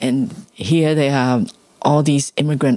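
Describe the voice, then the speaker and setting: At a fairly slow pace, a woman speaks with a very deep, low voice and ordinary pitch variation. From Hong Kong. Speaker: labour activist and scholar. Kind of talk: interview.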